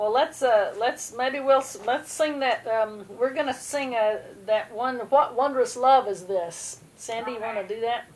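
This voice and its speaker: A high-pitched woman at a fairly slow pace, ordinary pitch variation, with noticeable background noise behind her. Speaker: leader of a family prayer service. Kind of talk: informal religious service. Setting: video call.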